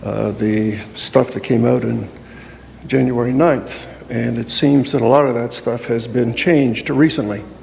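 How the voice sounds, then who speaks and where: A man talks at a fairly slow pace with fairly even intonation, and there is noticeable background noise. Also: medium pitch for a man. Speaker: public delegate. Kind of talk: public delegation speech.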